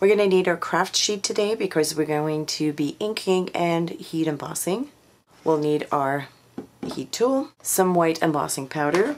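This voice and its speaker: Over noticeable background noise, a woman with a fairly low pitch talks at a moderate pace with ordinary pitch variation. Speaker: craft store tutorial host. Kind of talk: tutorial. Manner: careful, clear instructions.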